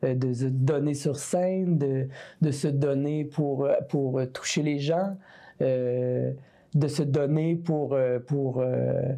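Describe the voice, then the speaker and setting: In a Quebec accent, a woman with a very deep, low pitch and a dark, mellow tone speaks very slowly, her intonation fairly even and her loudness very even. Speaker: singer-songwriter. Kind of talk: interview answer.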